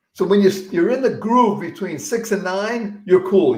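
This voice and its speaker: A man with a high-pitched voice speaks at a fairly quick pace in an animated tone, with ordinary pitch variation. Audible room echo surrounds his voice. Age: 70s. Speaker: motivational speaker. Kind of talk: interview.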